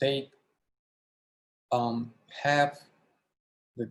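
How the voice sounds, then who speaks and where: Very slow speech with fairly even intonation. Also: man. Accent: strong Ukrainian. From Ukraine. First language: Ukrainian. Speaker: university lecturer. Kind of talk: lecture. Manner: halting, many fillers.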